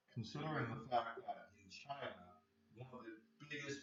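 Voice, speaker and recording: A man talks fairly slowly, and audible room echo hangs around his voice. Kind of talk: casual chat. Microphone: too quiet, poor microphone.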